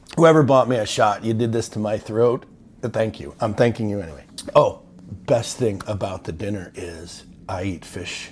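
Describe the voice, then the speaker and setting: A man is speaking with ordinary pitch variation. Music plays in the background. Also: moderate pace. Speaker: army veteran. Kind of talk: casual vlog recap. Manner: casual, filler-heavy.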